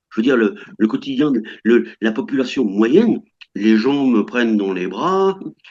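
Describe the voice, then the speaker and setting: A man's medium-pitched voice carries lively intonation as he talks fairly slowly. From France. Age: 60s. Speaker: French retiree living abroad. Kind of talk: interview. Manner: halting, many hesitations.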